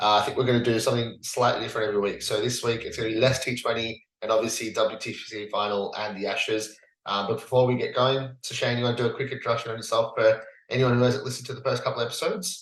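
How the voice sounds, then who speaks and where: A man talks with an Australian accent. His pace is very fast. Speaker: cricket podcast host. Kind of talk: casual chat. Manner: hesitant, many fillers.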